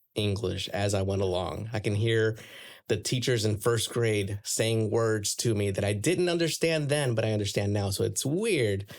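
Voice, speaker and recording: A man speaks at a fairly low pitch with very even loudness. The recording is very clean, with a silent background. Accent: Spanish. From Florida, raised bilingual from age five, born in Puerto Rico. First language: Spanish. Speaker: church member guest. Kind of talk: casual chat.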